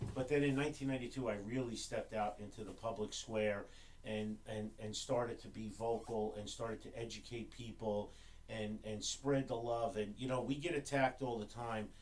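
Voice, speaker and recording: A man with an ordinary speaking voice and an American accent, at a moderate pace and medium pitch, with fairly even intonation. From New Jersey, Newark. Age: 60s. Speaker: gun range owner and gun rights activist. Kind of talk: podcast interview.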